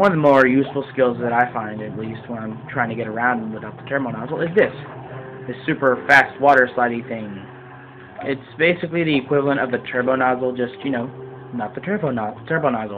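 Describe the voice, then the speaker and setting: Amid noticeable background noise, a man of medium pitch talks fairly quickly, with ordinary pitch variation and big swings in loudness. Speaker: video game let's player. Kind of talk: gameplay commentary. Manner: hesitant, many fillers. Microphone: quiet, volume needs turning up.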